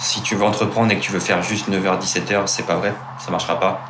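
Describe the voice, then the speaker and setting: Fairly low male voice with fairly even intonation at a fairly quick pace, with audible room echo and noticeable background noise. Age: 20s. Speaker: startup co-founder and engineer. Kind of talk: interview.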